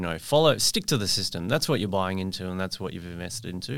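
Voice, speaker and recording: In an Australian accent, a man speaks at a very fast pace with a fairly low pitch and lively intonation. The recording is very clean, with a silent background. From Perth, Western Australia. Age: 40s. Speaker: franchise marketing director. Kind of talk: interview. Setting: studio, drinking wine.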